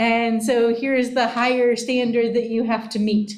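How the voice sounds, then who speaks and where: Over audible room echo, a woman speaks at a moderate pace in a high voice with monotone, flat intonation. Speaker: professor. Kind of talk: lecture. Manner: loud.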